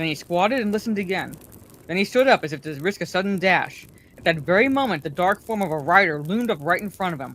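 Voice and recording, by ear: A natural voice reading aloud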